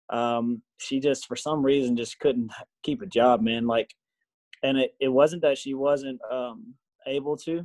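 Someone speaks with a Texan accent in a dry, close sound that has no echo. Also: man, medium pitch for a man, ordinary pitch variation, fairly slow pace. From Texas. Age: 30s. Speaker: high school football coach. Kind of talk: testimony. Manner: casual, hesitant with many fillers.

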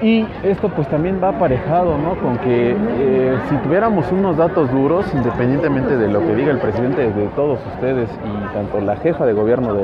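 Amid crowd noise and audible room echo, a man speaks at a moderate pace with lively intonation. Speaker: podcast host. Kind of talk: on-location report. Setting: outdoors at night bike ride.

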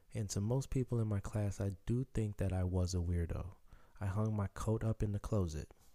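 On a very clean recording with a silent background, a man speaks in a dark, mellow tone at a fairly low pitch. His pace is moderate, his intonation fairly even and his loudness very even. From Chicago, US. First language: Haitian Creole. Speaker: podcaster telling life story. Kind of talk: personal storytelling monologue.

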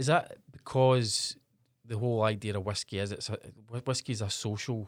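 In a Glasgow accent, a man speaks at a moderate pace on a very clean recording with a silent background. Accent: Scottish (Glasgow area). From Scotland, northeast of Glasgow. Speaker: podcast host. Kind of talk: casual interview. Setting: small studio.

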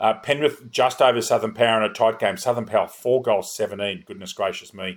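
A fairly quick man's voice at medium pitch with ordinary pitch variation. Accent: Australian. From Australia. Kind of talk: sports podcast chat with score readouts.

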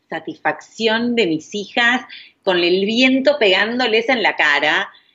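The voice shows vocal fry alongside very wide pitch swings. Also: woman. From Argentina. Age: 40s. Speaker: parenting coach. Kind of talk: interview conversation.

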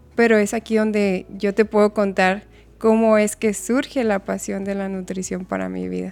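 A soft-spoken woman talks at a moderate pace in a medium-pitched voice. Her intonation is monotone and flat. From Mexico (Chihuahua). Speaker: nutritionist. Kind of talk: casual chat.

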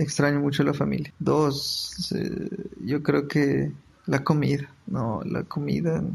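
Very slowly, a man gets his words out. Noticeable noise fills the background. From Ecuador, Quito. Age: 30s. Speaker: migrant graduate student. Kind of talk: interview testimony.

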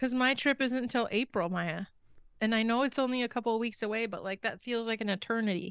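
Talking at a very fast pace against a quiet background, a woman with a fairly high voice and ordinary pitch variation sounds dry and close, with no echo. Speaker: podcast co-host. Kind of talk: casual chat. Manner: animated.

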